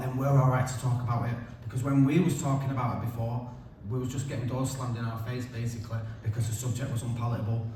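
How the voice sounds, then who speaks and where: A man with a Mancunian accent talks very fast at a medium pitch in a monotone, flat delivery, with audible room echo and noticeable background noise. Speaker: keynote speaker with lived experience. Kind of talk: keynote speech. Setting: stage with audience. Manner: casual, conversational.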